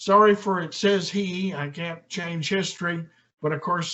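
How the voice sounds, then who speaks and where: With fairly even intonation, a man talks at a fairly slow pace and a high pitch. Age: 70s. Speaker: military lawyer and reserve officer. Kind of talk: lecture. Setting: room with live audience. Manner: formal.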